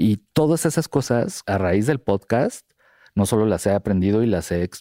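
In a very clean recording with a silent background, a man's dark, mellow tone comes through dry and close, with no echo. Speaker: podcast co-host, advertising professional. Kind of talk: casual chat.

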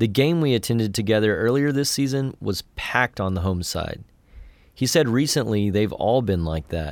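A man has a plain, everyday voice at medium pitch, speaking at a moderate pace with lively intonation. The recording is very clean, with a silent background. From West Texas (Andrews). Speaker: podcast narrator and reporter. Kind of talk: scripted narration.

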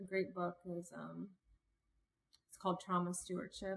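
A woman with an American accent talks at a fairly quick pace in an ordinary speaking voice, fairly low in pitch. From Cincinnati, Ohio, US Midwest. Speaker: activist and leadership consultant. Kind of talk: casual interview.

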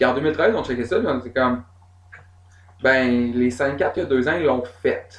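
In a Quebec accent, a man with a medium pitch speaks at a fairly slow pace with long, frequent pauses. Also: ordinary pitch variation. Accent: Québécois French. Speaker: singer and bassist, festival programmer. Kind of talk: casual chat. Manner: animated.

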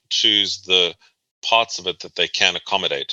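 A man with a South African accent, dry and close with no echo. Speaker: transportation planner and researcher. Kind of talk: interview.

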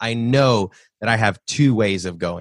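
A very slow man at medium pitch with ordinary pitch variation, dry and close with no echo, over a quiet background. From US South, Nashville. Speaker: real estate investor and podcast host. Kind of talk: interview. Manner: halting, repeats words.

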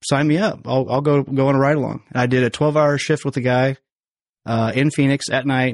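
Against a quiet background, a man with a Midwestern American accent talks at a fairly quick pace, the sound dry and close with no echo. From western Illinois, small town. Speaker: hunter. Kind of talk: casual chat. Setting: studio.

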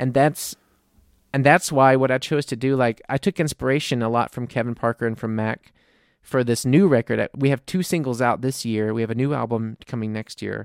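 In a very clean recording with a silent background and a dry, close sound with no echo, a man with an American accent and a normal speaking voice talks at a fairly quick pace and medium pitch, varying it normally. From US South, New Orleans. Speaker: indie-pop singer-songwriter. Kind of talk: casual chat.

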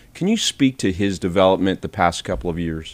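The recording is very clean, with a silent background. A man speaks with a very deep, low pitch. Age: 50s. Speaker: sports reporter. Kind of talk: interview.

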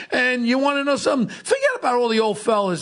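With an American accent, a man speaks while noticeable noise fills the background. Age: 60s. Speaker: podcast host, former police officer. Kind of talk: casual chat. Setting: studio. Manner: animated.

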